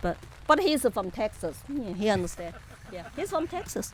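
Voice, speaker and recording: A woman speaks with a Chinese accent in a high pitch. Her pace is moderate. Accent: Chinese accent, non-native English. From China, Chengdu, Sichuan. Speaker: political activist. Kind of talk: interview.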